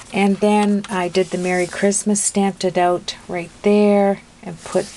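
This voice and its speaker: With a medium pitch and monotone, flat intonation, a woman talks at a fairly slow pace amid noticeable background noise. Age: 60s. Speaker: craft video maker. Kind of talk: tutorial. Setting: home craft room. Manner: chatty, many fillers.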